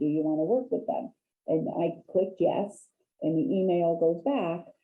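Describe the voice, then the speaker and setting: At a moderate pace, a woman speaks in an ordinary speaking voice with lively intonation. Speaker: real estate agent, HUD specialist presenter. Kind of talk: training webinar presentation.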